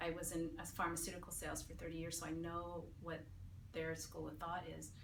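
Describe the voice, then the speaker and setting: A woman with an American accent speaks at a fairly quick pace and a fairly low pitch. Noticeable background noise and audible room echo surround her. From San Francisco, California. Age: 50s. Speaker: patient giving a testimonial. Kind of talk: testimony. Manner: casual, with hesitations and fillers.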